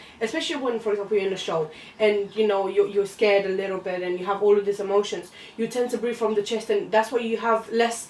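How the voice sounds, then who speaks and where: Over noticeable background noise, a woman with a non-native accent talks very fast at a medium pitch, her intonation fairly even. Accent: foreign. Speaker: drama student. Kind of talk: casual discussion.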